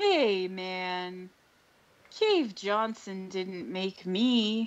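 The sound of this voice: The speaker uses a put-on character voice at a middle pitch and talks at a very slow pace. The background is quiet. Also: female-sounding voice.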